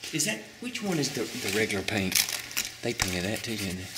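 Loud background noise runs under the recording. A man talks at a fairly quick pace. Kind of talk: casual vlog chat. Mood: awed, slightly nervous. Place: classroom. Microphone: phone near.

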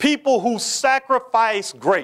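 A man at a fairly slow pace against a quiet background. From Kentucky (Lexington). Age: 60s. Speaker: history professor and university president. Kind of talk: lecture. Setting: stage with audience. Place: hall. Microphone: lapel.

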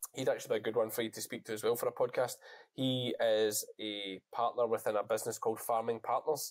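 A man with a Scottish accent talks at a very fast pace over a quiet background. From Scotland. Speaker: sheep farmer and shearer, YouTuber; YouTuber. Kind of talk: casual chat. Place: home room. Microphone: earbuds.

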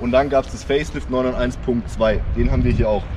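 A man talks at a moderate speed while noticeable noise sits in the background. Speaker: car reviewer. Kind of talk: casual vlog chat. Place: street.

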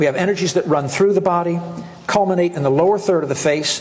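A man's high-pitched voice at a very fast pace with fairly even intonation. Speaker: presenter. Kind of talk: lecture. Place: hall. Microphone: lapel.

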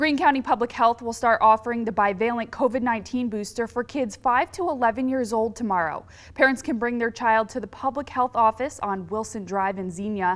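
A woman's normal speaking voice, fairly high in pitch with ordinary variation, at a fairly quick pace with hardly any pauses, on a very clean recording with a silent background. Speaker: news anchor. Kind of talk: TV news read.

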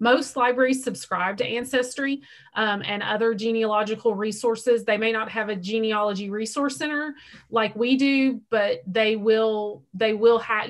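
With an unremarkable speaking voice, a woman talks at a moderate pace and fairly high pitch, her intonation fairly even, against a quiet background. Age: 40s. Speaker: library outreach coordinator; library genealogy staff host. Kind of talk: Q&A moderation. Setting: video call. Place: home room. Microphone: webcam.

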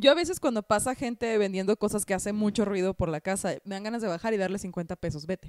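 Talking at a very fast pace with hardly any pauses, a woman has an animated tone and ordinary pitch variation in a dry sound with no echo against a quiet background. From northern Mexico (Hermosillo, Sonora); northern Mexico. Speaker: comedian and podcast co-host; comedian podcast co-host. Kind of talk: casual chat. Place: home room. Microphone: handheld.

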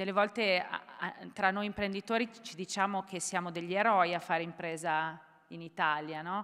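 A woman's bright, sharp voice at a moderate pace, with fairly even intonation and a quiet background. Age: 40s. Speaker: entrepreneur; panelist. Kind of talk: panel discussion. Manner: hesitant, many fillers. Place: hall. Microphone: podium.

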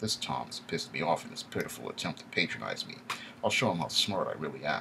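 A man with a fairly bright tone, vocal fry and a fairly quick pace

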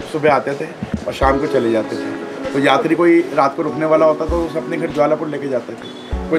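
A man speaks at a moderate pace with clear music playing in the background. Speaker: local guide. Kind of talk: interview answer. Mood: earnest, devout storytelling. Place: shop.

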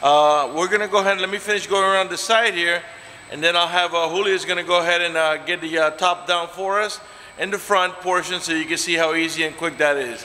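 With light background noise behind him, a man speaks in a high voice with fairly even intonation. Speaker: car salesman. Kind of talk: product walkaround commentary. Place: shop. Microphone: phone near.

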